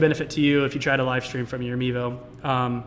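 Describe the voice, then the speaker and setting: A man's fairly high voice at a very fast pace against noticeable background noise. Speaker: technical specialist hosting live product stream. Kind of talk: live stream Q&A and product tutorial. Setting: live stream with chat. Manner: animated.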